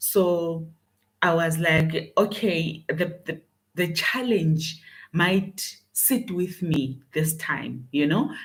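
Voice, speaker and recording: A woman's fairly low voice, very slow in pace, with ordinary pitch variation. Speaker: leadership coach. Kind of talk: motivational talk. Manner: loud; halting with fillers.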